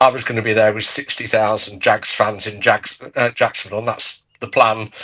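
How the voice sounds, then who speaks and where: A man with a British accent speaks in a monotone, flat intonation. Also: medium pitch for a man, moderate pace. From UK. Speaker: podcast guest, fan club member. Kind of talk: casual chat.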